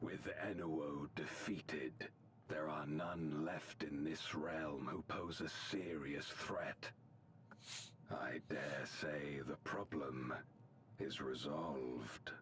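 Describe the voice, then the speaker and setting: A put-on character voice moves at a very slow pace over clear background noise. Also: man, very deep, low pitch for a man. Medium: video game. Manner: formal, archaic, measured.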